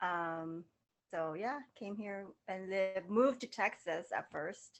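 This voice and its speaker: Speaking at a very slow pace, a woman with a medium pitch uses ordinary pitch variation and has a slight Laotian accent. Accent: slight Laotian touch. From Southern California. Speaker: model and fashion stylist. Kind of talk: casual interview chat.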